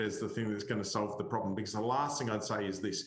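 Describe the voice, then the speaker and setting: With an Australian accent, a man speaks amid audible echo from the room. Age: middle-aged. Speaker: cyber security expert. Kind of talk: panel discussion. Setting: webinar.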